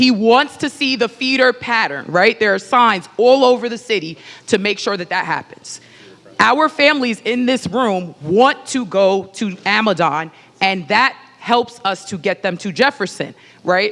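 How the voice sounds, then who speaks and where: Her intonation lively, a woman speaks fairly slowly at a fairly high pitch. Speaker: middle school teacher. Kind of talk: public comment at community meeting. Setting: church hall with audience. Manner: loud; impassioned.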